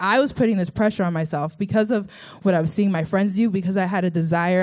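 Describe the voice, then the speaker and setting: This woman talks at a very fast pace in a medium pitch. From Texas, Sugar Land. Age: 20s. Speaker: church student giving testimony. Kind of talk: testimony.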